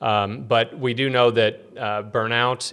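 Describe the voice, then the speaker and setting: Bright and sharp in tone, the voice has an American accent and fairly even intonation, on a very clean recording with a silent background. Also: man. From US Midwest, Peoria, Illinois. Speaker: physician informatics director. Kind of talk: casual interview chat. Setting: studio. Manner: hesitant, many fillers.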